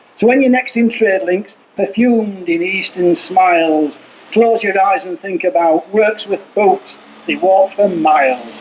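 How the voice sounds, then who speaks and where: A man talks at a high pitch with lively intonation. His pace is fairly slow, and there is noticeable background noise. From Yorkshire, England. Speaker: performance poet. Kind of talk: humorous poetry reading. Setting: outdoors.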